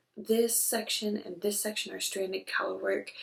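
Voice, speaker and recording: A woman speaks quietly at a moderate pace. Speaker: knitting vlogger. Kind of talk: casual chat. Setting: on vacation, indoors. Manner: quiet, hushed.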